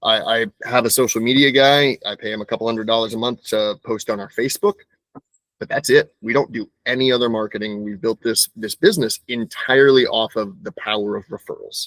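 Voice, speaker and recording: A normal speaking voice moves at a fairly quick pace with ordinary pitch variation, in a dry, close sound with no echo. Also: man, medium pitch for a man. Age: 30s. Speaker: moving company owner. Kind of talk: interview. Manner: conversational, some self-repetition.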